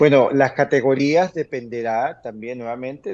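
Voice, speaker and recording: The tone is dark and mellow. Intonation runs lively throughout. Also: man. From Venezuela. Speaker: immigration lawyer. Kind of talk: interview Q&A, informative. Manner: hesitant, many fillers (eh, este). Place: home room. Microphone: webcam.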